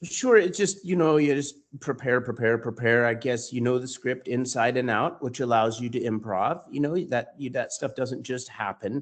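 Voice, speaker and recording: Using a plain, everyday voice, a man speaks at a medium pitch and a moderate pace with ordinary pitch variation and hardly any pauses. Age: 30s. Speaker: stage actor. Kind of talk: interview.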